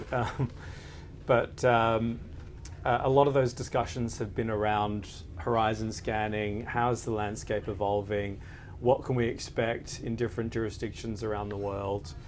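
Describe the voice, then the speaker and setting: Speaking at a moderate pace with fairly even intonation, a man with a medium-pitched voice is heard with audible room echo. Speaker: lawyer. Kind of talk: panel interview. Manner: hesitant, many filler words.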